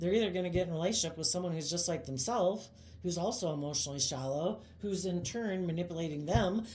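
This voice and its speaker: A woman's somewhat breathy voice, dark and mellow in tone, fairly low in pitch, very fast and lively in intonation, with audible room echo. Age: 50s. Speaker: tarot reader. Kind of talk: tarot reading monologue. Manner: casual, conversational.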